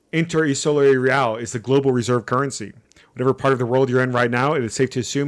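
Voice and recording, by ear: A passage is read aloud in a natural voice.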